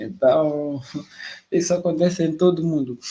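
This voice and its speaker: Fairly slow in pace, a man talks at a high pitch. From Mozambique. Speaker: live stream host. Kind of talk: interview conversation. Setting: online live stream.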